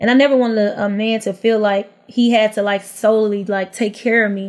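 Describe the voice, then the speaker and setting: The woman speaks with monotone, flat intonation. The recording is very clean, with a silent background. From Houston, Texas. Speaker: reality TV personality, former stripper. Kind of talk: casual interview chat.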